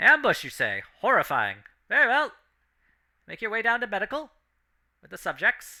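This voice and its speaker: A man uses a robotic, put-on character voice at an extremely high pitch, speaking at a moderate pace with long, frequent pauses and big swings in loudness. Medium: actual play.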